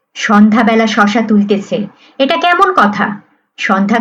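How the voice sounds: Lively intonation marks a natural reading voice. Little sound comes from behind it.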